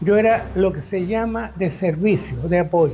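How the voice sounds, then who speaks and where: A man is talking, somewhat unhurried. Music can be heard behind him. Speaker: war veteran. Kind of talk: testimony. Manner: halting.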